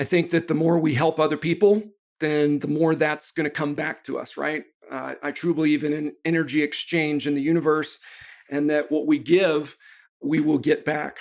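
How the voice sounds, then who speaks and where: A man's fairly high, monotone voice with flat intonation at a moderate pace, on a very clean recording with a silent background. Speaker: sales trainer and speaker. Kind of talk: podcast interview.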